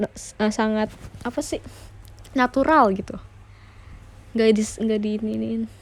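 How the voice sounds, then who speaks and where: A woman talks fairly quickly in a fairly high voice with fairly even intonation. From West Java, Indonesia (Sundanese family). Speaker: idol group member live streaming. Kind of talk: casual live stream chat. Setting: home live stream, radio mode without camera. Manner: casual, chatty.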